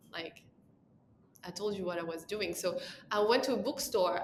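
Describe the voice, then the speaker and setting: A woman with a French accent, medium pitch and a moderate pace, with audible room echo. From France. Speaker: makeup artist. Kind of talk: interview. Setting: podcast.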